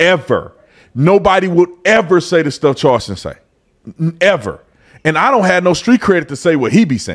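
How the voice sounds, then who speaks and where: Against a silent background in a very clean recording, a man speaks at a high pitch with lively intonation. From Fort Worth, Texas. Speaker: political commentator, former police officer. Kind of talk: casual commentary.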